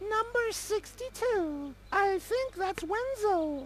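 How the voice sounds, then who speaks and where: Very slow and squeaky, this put-on character voice has lively intonation. Background noise is clearly audible. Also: woman, extremely high pitch for a woman. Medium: video game. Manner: prim, frequently clears throat.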